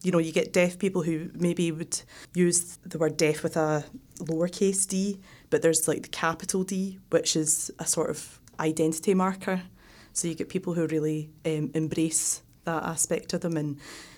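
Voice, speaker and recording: In a Glaswegian accent, a woman speaks at a moderate pace and a fairly low pitch with monotone, flat intonation, on a very clean recording with a silent background. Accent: Glaswegian Scottish. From Scotland, Glasgow. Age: 30s. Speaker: exchange student. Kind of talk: interview.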